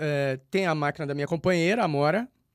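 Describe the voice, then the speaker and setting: This is a man speaking with a fairly high voice. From Rio de Janeiro, Brazil. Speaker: poet. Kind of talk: radio interview. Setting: radio studio. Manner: halting, many repetitions and fillers.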